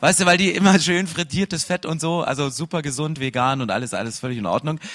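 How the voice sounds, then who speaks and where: Energetic in tone, a man speaks at a very fast pace with lively intonation. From Saxony, eastern Germany. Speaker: pastor. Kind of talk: sermon.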